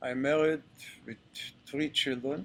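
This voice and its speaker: This is a man talking. He speaks with an Israeli accent. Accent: Israeli Hebrew. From Israel (Ashkelon). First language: Hebrew. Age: 70s. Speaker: retired army general. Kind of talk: interview talk to audience. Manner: halting, many fillers.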